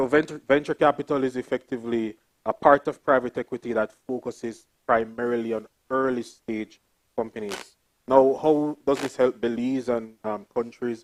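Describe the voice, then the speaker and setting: A man with a Jamaican accent, fairly even intonation and a moderate pace, in a dry, close sound with no echo. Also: medium pitch for a man. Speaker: development bank investment officer, panelist. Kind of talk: panel talk.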